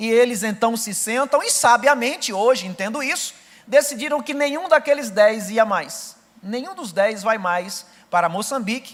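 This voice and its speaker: A man with a northeastern Brazilian accent speaks at a moderate pace with an extremely high pitch and lively intonation. His loudness swings widely, and noticeable background noise is present. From Brazilian Northeast, Rio Grande do Norte. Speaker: missionary preacher. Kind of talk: sermon with personal testimony. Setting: church service.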